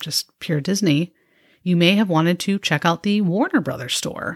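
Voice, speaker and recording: In a plain, everyday voice with an American accent, the speaker moves at a moderate pace with ordinary pitch variation. The recording is very clean with a silent background, the sound dry and close with no echo. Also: woman. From suburban Chicago, US Midwest. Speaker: podcast host. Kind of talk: scripted narration, nostalgic retrospective. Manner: conversational, warm, nostalgic.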